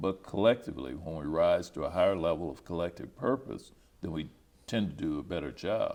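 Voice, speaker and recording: A man with an American accent speaks at a fairly quick pace in a very deep, low pitch, with vocal fry and lively intonation. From Topeka, Kansas. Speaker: retired educator and high school principal. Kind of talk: oral history interview answer.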